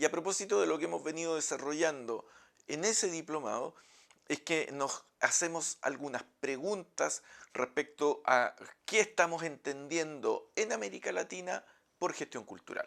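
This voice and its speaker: Over a silent background on a very clean recording, a man with a Chilean accent speaks at a moderate pace with a fairly high voice and lively intonation. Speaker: professor. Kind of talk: lecture. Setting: office.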